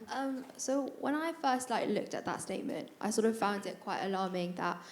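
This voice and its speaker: Her delivery is very fast, with ordinary pitch variation, and the woman's voice carries audible room echo. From northern England, County Durham. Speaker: university student, panellist. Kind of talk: panel discussion. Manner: hesitant, many repetitions.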